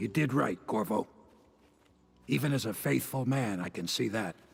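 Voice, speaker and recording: A man puts on a raspy character voice at a medium pitch. He speaks at a moderate pace with lively intonation. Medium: video game.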